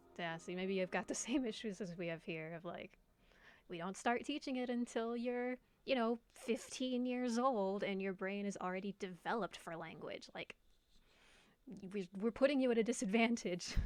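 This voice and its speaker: An ordinary speaking voice from a woman with an American accent, fairly high in pitch, with ordinary pitch variation at a moderate pace. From United States. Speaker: streamer, former French teacher. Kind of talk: casual livestream chat reading viewer comments. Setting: livestream. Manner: casual, many fillers.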